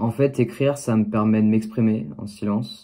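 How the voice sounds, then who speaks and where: A man's dark, mellow tone at medium pitch, with ordinary pitch variation. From France, Lyon. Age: 20s. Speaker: vlogger. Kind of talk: personal narration.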